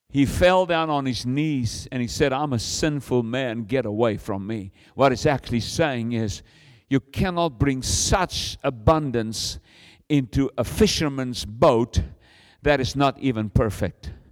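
A man speaks fairly slowly at medium pitch, with ordinary pitch variation. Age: 60s. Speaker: visiting preacher. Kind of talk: sermon. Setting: church. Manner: animated.

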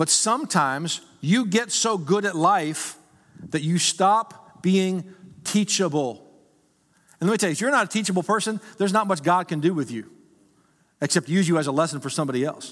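With long, frequent pauses, a man speaks in an animated tone at a high pitch with lively intonation. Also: moderate pace. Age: 50s. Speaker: pastor. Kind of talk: sermon. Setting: church.

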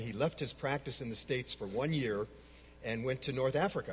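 A somewhat breathy man's voice, medium in pitch, with an American accent and a fairly quick pace. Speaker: speaker on Islam, longtime Middle East missionary.

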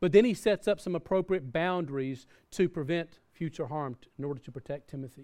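A man with a Southern US accent, at a fairly quick pace and with ordinary pitch variation. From US South. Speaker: pastor. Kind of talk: sermon. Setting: church.

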